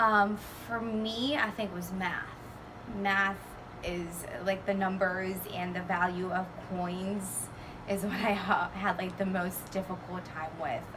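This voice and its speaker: Against noticeable background noise and audible room echo, a woman speaks at a fairly slow pace with monotone, flat intonation. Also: medium pitch for a woman. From Houston area, Texas. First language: Spanish. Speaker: interviewee. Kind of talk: casual interview. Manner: halting, many fillers.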